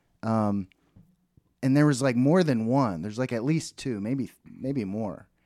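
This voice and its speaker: A man speaks in an unremarkable speaking voice at a fairly slow pace, medium in pitch with ordinary pitch variation. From Texas, Dallas. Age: 30s. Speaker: podcast co-host. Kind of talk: casual chat.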